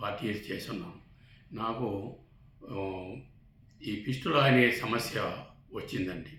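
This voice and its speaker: A man speaks at a fairly low pitch with ordinary pitch variation, with noticeable background noise behind him. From Andhra Pradesh, India. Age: 70s. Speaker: retired school headmaster. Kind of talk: patient testimonial interview answer.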